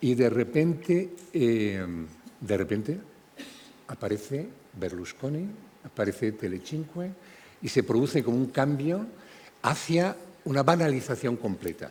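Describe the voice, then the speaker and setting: Fairly slow male speech at a medium pitch, with very wide pitch swings and long, frequent pauses. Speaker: panel moderator. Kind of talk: moderated panel discussion. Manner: halting, many repetitions.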